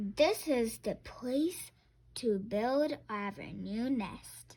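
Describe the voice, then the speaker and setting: A woman's put-on character voice, fairly high in pitch, at a very slow pace. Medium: read story.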